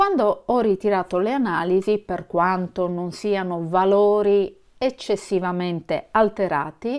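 Against a quiet background, a woman talks fairly slowly. Her pitch varies in an ordinary way. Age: 50s. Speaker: vlogger. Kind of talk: casual vlog talk to camera. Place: home room. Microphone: phone near.

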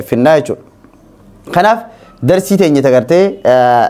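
The speaker talks with lively intonation in an Ethiopian accent. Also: man. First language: Afaan Oromo (speaking Arabic). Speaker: Islamic teacher; religious teacher. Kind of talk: religious lesson. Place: classroom. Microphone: lapel.

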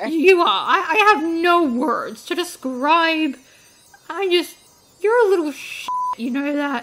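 A woman puts on a character voice, pitched extremely high and delivered at a fairly slow pace. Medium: dub. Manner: exasperated, sarcastic.

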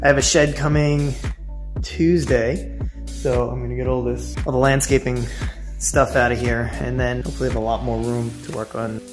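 Long, frequent pauses break up the speech while music plays clearly in the background. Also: man. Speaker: car hobbyist vlogger. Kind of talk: casual vlog chat. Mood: relaxed, cheerful. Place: garage. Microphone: phone near.

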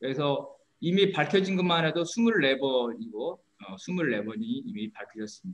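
A man speaks at a very slow pace in a high pitch. His pitch swings very widely, and his loudness swings a lot. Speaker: researcher; panel discussant. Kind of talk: presentation. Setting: video call. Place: home room. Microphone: video call.

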